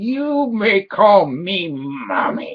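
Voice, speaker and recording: A man puts on a shrill, croaky character voice pitched high. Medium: read story. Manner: menacing.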